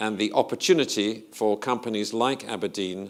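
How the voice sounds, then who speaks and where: A man speaks with a British accent. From Britain. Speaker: investment strategist. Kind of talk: conference presentation.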